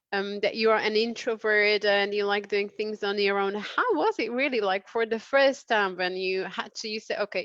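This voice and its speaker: A woman with a non-native accent speaks at a moderate pace and medium pitch. Her intonation is fairly even, and the sound is dry and close with no echo. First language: not English. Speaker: career coach and interviewer. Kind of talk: interview.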